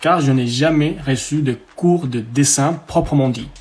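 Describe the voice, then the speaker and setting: A man with a slight Colombian accent, medium pitch for a man and fairly even intonation, over noticeable background noise. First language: Spanish (speaking French). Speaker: drawing tutorial youtuber, freelance artist. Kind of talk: channel introduction monologue. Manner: hesitant, with filler pauses.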